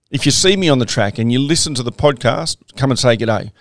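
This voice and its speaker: A man with an Australian accent. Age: 50s. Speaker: podcast host, former soldier and trek leader. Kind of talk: casual monologue.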